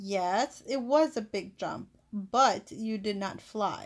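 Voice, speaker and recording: A woman uses a put-on character voice at a very slow pace, on a very clean recording with a silent background. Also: medium pitch for a woman. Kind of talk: read-aloud children's book. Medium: read story. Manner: plain, simple short sentences.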